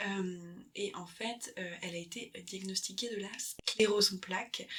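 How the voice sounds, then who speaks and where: Medium pitch from a woman, delivered in a monotone, flat intonation. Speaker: ASMR creator and book lover. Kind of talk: book recommendation, summarising a memoir's story in casual talk. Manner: soft-spoken, hesitant, self-correcting.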